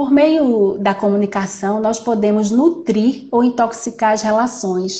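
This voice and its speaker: A woman with a Recife accent speaks at a fairly high pitch. Her pace is moderate and her pitch variation ordinary. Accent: Recife accent, S sounding like X. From Recife, Brazil. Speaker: judge and live stream moderator. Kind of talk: live stream interview. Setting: online live stream. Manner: hesitant, repeats words.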